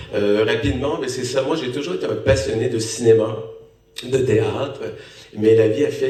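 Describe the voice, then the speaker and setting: At a moderate pace, a man talks amid audible room echo and noticeable background noise. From Canada. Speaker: actor, lead role. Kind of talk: post-screening Q&A talk.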